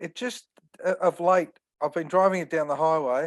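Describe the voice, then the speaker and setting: Quiet surrounds this speaker. The accent is Australian. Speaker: caller with car question. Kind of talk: casual Q&A. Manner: halting.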